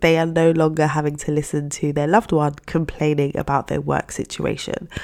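Speech at a moderate pace in a very clean recording, against a silent background. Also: woman. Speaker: career coach and podcast host. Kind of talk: solo podcast monologue.

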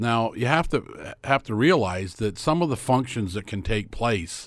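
A normal speaking voice comes at a moderate pace with lively intonation. The recording is very clean, with a silent background. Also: man. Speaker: sports commentator. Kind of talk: casual chat.

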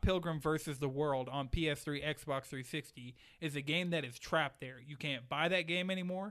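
Speaking in a plain, everyday voice with an American accent, a man with a fairly high pitch keeps a moderate pace and ordinary pitch variation. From Atlanta, US South. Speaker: gaming podcast host. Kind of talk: casual chat. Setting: studio.

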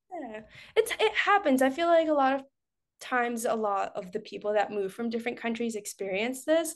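A woman at a high pitch and fairly quick pace, over a quiet background. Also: lively intonation. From Costa Rica. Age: 20s. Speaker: fitness content creator and online coach. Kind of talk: casual interview chat. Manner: animated.

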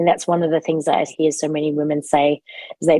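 Dry and close with no echo, the voice has a dark, mellow tone. It moves at a fairly quick pace with fairly even intonation. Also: woman. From Australia. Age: 40s. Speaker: fitness trainer and former dancer. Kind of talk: interview.

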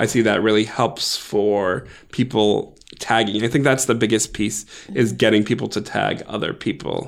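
Fairly even in intonation, a man speaks at a medium pitch and a fairly slow pace. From US Northeast (Massachusetts, Maryland). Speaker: event producer. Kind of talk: interview.

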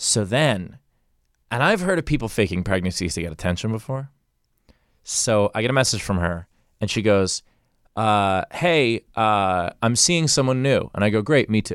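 In a very clean recording with a silent background, a speaker with an American accent talks at a moderate pace with lively intonation. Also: man, fairly low pitch for a man. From Queens, New York. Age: 40s. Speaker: comedian.

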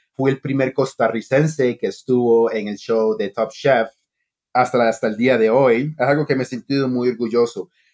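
The pace is moderate, with fairly even intonation. The sound is dry and close, with no echo. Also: man, medium pitch for a man. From Costa Rica until age 8, then US (Long Island). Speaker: chef. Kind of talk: interview. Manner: halting.

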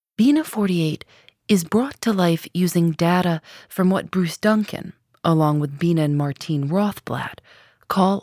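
A woman's plain, everyday voice, fairly low in pitch with ordinary pitch variation, at a fairly slow pace in dry, close sound with no echo. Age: 30s. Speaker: podcast host. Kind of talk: narrated interview podcast. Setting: radio studio.

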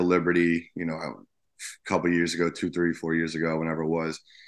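A man with an American accent, very deep and low in pitch, at a very fast pace over a quiet background. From New Jersey. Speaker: high school basketball coach. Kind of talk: casual interview. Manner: halting, many fillers.

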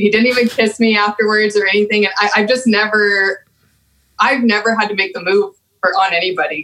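A woman with an American accent, fairly high in pitch, fairly quick in pace, and fairly even in intonation. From Texas. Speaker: guest. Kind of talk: casual chat.

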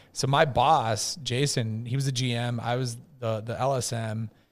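This man's voice sits at a medium pitch. He keeps his intonation fairly level. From US Midwest (Edina, Minnesota). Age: 40s. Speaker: marketing agency founder. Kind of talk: casual chat.

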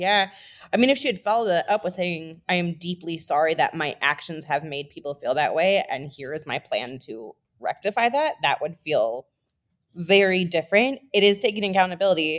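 A woman's plain, everyday voice with an American accent, fairly low in pitch, lively in intonation, at a moderate pace. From Minnesota. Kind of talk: casual chat.

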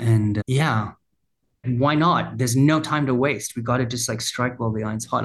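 A somewhat breathy man's voice of medium pitch at a fairly quick pace with fairly even intonation. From rural Australia. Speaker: brand founder and former advertising creative. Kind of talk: casual chat.

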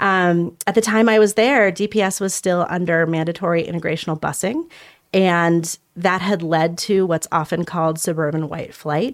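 Here is an ordinary speaking voice from a woman with a General American accent and a fairly low pitch. She keeps a moderate pace with ordinary pitch variation. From Denver, Colorado. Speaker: education nonprofit leader. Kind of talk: interview. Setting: studio.

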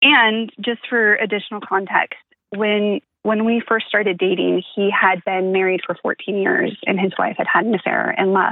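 A woman in a normal speaking voice talks at a moderate pace, her medium pitch held in fairly even intonation. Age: 40s. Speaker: caller. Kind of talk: personal advice call. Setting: phone call.

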